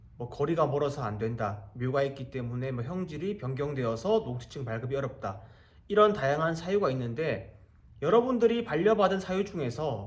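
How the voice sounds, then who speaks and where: This man's somewhat breathy voice sits at a fairly high pitch and swings very widely in pitch. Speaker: real estate auction investor and YouTuber. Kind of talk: casual explainer monologue. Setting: abroad in Egypt while traveling.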